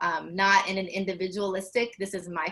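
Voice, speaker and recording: At an average tempo, the speech carries a bright, sharp tone. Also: woman. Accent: Southern US. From US South. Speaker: faith leader, activist. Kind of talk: panel discussion. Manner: passionate.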